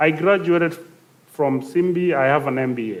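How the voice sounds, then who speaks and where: In a South Sudanese accent, a man speaks at a fairly high pitch. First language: Dinka. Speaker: youth panelist. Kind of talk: panel discussion. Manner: halting, many fillers.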